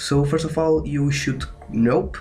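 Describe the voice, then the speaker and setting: Lively male intonation amid audible room echo and noticeable background noise. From Portugal. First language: Portuguese. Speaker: gaming tutorial youtuber. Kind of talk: tutorial. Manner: halting, many fillers.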